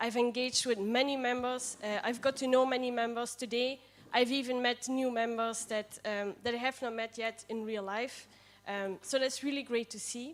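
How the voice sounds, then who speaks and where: Speaking with a Limburg accent, a woman keeps a high pitch and a monotone, flat intonation. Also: moderate pace. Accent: Dutch (Limburg) accent in English. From Netherlands, near Maastricht. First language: Dutch. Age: 20s. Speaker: political party candidate. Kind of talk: candidate speech at assembly. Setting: assembly room with livestream. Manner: hesitant, many fillers.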